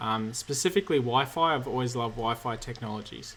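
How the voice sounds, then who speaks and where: Medium in pitch, a man speaks with an Australian accent. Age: 30s. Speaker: cybersecurity engineer and YouTuber. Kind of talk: live Q&A stream. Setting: livestream from home.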